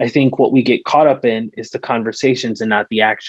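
In a dry, close sound with no echo, a man speaks at a medium pitch with fairly even intonation. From Tucson, Arizona. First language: Spanish. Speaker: political candidate. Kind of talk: Q&A session at political meeting. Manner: halting, many fillers.

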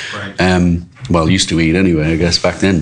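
A man with an Irish accent speaks at a very deep, low pitch against noticeable background noise. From Ireland, Dublin. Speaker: restaurant co-owner. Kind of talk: casual interview. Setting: restaurant.

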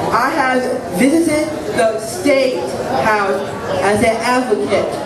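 A man with an American accent speaks at a very slow pace. Loud background noise and audible room echo surround his voice. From Newton, Massachusetts. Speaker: photographer and self-advocate. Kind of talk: prepared speech to a live audience. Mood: proud, earnest. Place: stage. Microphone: podium.

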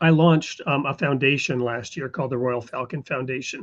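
Here a man talks at a medium pitch. His pace is moderate. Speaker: talk show host; podcast host. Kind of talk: casual interview. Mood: relaxed, friendly. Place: home room. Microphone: studio mic.

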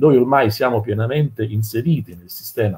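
A man speaks with a slightly mellow tone, a husky, rough edge and ordinary pitch variation. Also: medium pitch for a man, moderate pace.

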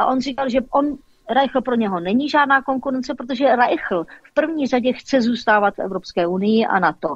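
A woman with a high pitch and lively intonation speaks in a dry sound with no echo against a quiet background. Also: moderate pace. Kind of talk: casual chat. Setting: phone call. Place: studio.

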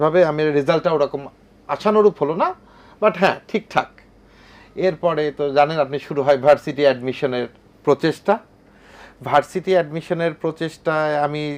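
A man speaks in a normal speaking voice, pitched fairly high. His pitch varies in an ordinary way. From Bangladesh, Kushtia. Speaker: business executive. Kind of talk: television talk show interview. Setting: studio.

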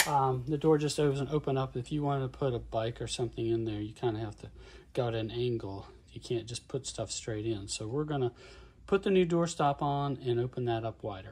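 The voice is somewhat breathy with a dark, mellow tone and ordinary pitch variation. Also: man, fairly quick pace. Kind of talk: tutorial. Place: street. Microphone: phone near.

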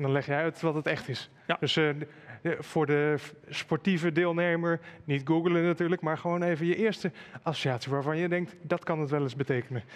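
This man talks at a fairly quick pace. His intonation stays fairly even. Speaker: event moderator. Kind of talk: moderated panel conversation. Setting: live stream with chat. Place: studio. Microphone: headset.

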